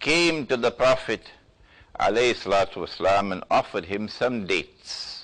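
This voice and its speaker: A man with a normal speaking voice, medium pitch, lively intonation and a moderate pace. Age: 60s. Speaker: Islamic scholar. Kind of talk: lecture. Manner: forceful.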